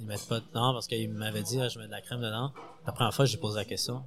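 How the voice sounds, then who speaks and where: Against music in the background, a man speaks very fast at a fairly low pitch with ordinary pitch variation. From Montreal, Quebec. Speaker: sous-chef. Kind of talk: interview. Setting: restaurant kitchen before service.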